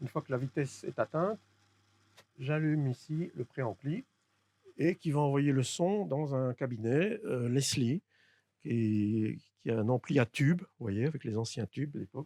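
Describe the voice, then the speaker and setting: A man speaks slowly, with long, frequent pauses and lively intonation, in a fairly high pitch. His tone is dark and mellow, and the sound is dry and close with no echo. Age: 60s. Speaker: electronics repairer. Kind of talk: interview; demonstration. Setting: workshop. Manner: hesitant, many fillers.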